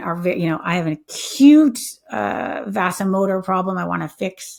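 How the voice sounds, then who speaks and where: A normal speaking voice with lively intonation at a moderate pace. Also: woman. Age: 50s. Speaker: health tech company founder. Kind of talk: interview conversation.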